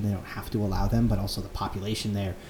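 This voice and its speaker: With an American accent, a man speaks in a normal speaking voice at a fairly low pitch, his intonation fairly even. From Connecticut (Fairfield County). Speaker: student club president. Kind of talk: casual chat.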